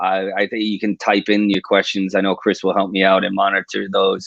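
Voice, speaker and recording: This man speaks with a New York accent. His pitch sits fairly low. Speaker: police detective and suicide prevention researcher. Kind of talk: livestream interview talk. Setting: video livestream. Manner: fast.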